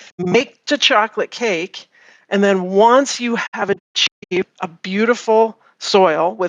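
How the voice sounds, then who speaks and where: Using a plain, everyday voice, a woman talks in a medium pitch range, her pitch varying in an ordinary way. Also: dry, close sound with no echo. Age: 50s. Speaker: farm consultant. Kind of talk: interview.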